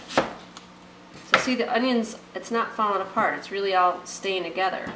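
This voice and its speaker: Amid noticeable background noise and audible room echo, a woman talks at medium pitch with ordinary pitch variation. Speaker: cooking video host. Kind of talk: cooking tutorial. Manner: fast; casual, chatty.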